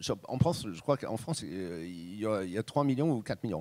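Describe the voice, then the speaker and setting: In a very clean recording with a silent background and a dry, close sound with no echo, a man speaks at a moderate pace with very wide pitch swings. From Britain. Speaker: journalist and radio host. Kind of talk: public talk answer.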